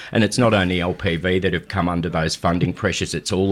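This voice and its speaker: The man's pitch is very deep and low, and he talks at a very fast pace. The recording is very clean, with a silent background. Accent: Australian. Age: 50s. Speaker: CEO of a health charity. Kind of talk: radio interview.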